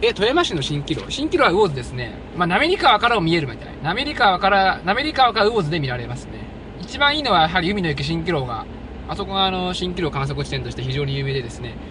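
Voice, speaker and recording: A man talks at a very fast pace, his loudness swinging widely, in a dry sound with no echo and noticeable background noise. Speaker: live streamer. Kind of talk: live outdoor stream, casual commentary. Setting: outdoors. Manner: chatty, animated. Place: open country. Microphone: phone near.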